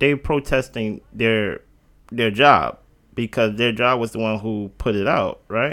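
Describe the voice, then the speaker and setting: In an ordinary speaking voice, a man talks at a fairly slow pace with a medium pitch and fairly even intonation. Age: 30s. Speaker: podcast co-host. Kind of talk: casual chat. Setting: at co-host's house.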